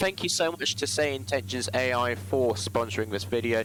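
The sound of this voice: A man at medium pitch, talking at a fairly quick pace with lively intonation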